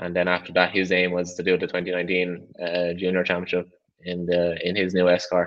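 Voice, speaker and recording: A man with an Irish accent speaks at a moderate pace in a very deep, low pitch, his intonation monotone and flat. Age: 20s. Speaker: rally driver. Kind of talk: interview.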